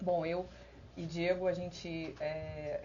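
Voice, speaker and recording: A woman's very deep, low voice carries vocal fry and flat, monotone intonation amid audible room echo. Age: 30s. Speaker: election candidate, internal auditor. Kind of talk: live-stream panel presentation. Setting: online live stream. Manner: halting, many filler hesitations.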